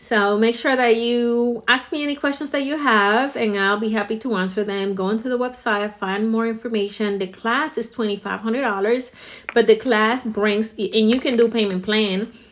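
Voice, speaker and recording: A woman's normal speaking voice, fairly high in pitch, with fairly even intonation at a moderate pace. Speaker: salon owner and hair educator. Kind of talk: promotional talk to camera.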